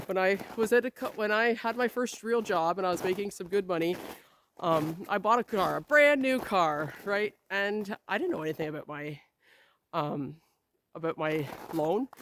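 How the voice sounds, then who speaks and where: Speaking in an ordinary speaking voice with a Canadian accent, a woman talks at a moderate pace and a medium pitch with lively intonation. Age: 40s. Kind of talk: casual talk to camera.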